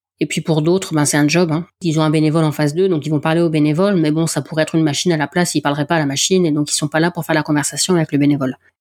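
In a northern French accent, a woman with a very deep, low pitch speaks at a very fast pace with hardly any pauses. Her intonation is monotone and flat, her loudness very even. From northern France. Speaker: podcast host and athletics volunteer. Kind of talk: interview.

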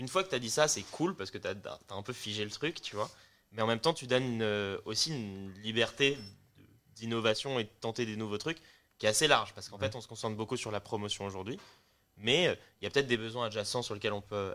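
A man with a bright, sharp tone and medium pitch talks at a very fast pace with ordinary pitch variation and big swings in loudness, in a very clean recording with a silent background. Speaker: music startup co-founder. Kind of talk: casual chat.

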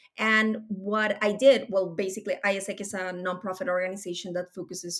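A woman with a Spanish accent at medium pitch, fairly quick and fairly even in intonation. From Colombia. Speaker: tech program director. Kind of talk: interview.

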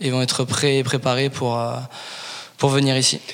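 Noticeable background noise runs under the clip. A man speaks at a medium pitch and moderate pace in a monotone, flat way. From Paris region, raised in Toulouse from 14. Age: 20s. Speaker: professional rugby player. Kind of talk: interview. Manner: halting, many fillers and repetitions.

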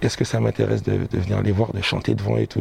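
Over noticeable background noise, a man with a very deep, low voice talks very fast. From Guadeloupe, Pointe-à-Pitre. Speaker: singer. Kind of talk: casual interview. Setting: bookshop cultural space.

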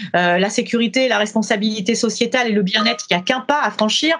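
Through noticeable surrounding noise, a woman's fairly high voice carries ordinary pitch variation. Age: 50s. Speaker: company founder and training consultant. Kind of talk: interview.

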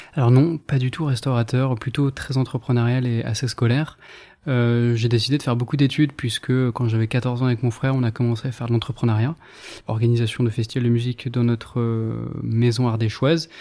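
A man's dark, mellow voice sits at a medium pitch. He speaks fairly quickly with monotone, flat intonation. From France, northern Ardèche. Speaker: restaurateur. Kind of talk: interview. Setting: in a restaurant.

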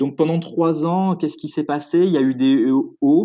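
Fairly slow delivery comes in a dark, mellow tone. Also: man. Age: 30s. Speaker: food retail entrepreneur. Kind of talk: interview.

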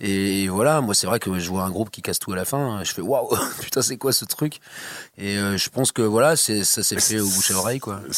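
With an unremarkable speaking voice, a man talks at a fairly quick pace and fairly low pitch, using ordinary pitch variation. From Brittany, France (near Guingamp). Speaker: musician. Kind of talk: interview. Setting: studio.

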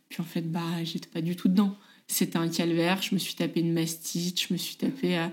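A woman speaks in a plain, everyday voice at a fairly low pitch. Her pace is fairly quick and her intonation fairly even. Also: very clean recording, silent background. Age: 30s. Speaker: mother sharing her story. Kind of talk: personal testimony.

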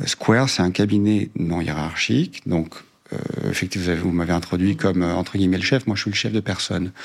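This man talks at a fairly quick pace in a very deep, low voice. His pitch varies an ordinary amount. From southern France, Cévennes. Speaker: lawyer, law firm co-founder. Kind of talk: interview conversation. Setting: firm's meeting room.

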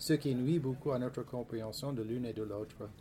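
A man speaks with an English accent at a medium pitch and a moderate pace. His voice is somewhat breathy, with a dark, mellow tone and fairly even intonation. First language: English (speaking French). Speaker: history professor. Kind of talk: reading aloud; panel discussion. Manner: halting.

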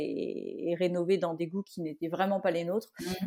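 On a very clean recording with a silent background, a woman speaks at a moderate pace with a medium pitch and a dark, mellow tone. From Brittany, France. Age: 30s. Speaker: renovator of an old barn. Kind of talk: interview. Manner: hesitant, many fillers and repetitions.

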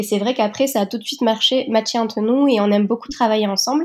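At a fairly quick pace, a woman speaks in a somewhat breathy, fairly high voice with ordinary pitch variation. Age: 30s. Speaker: entrepreneur. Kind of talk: interview.

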